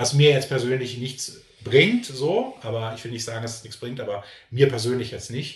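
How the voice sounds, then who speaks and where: A man speaks at a moderate pace with fairly even intonation. There is audible echo from the room. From Berlin, Germany. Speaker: YouTuber. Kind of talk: casual interview. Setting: video recording, in person.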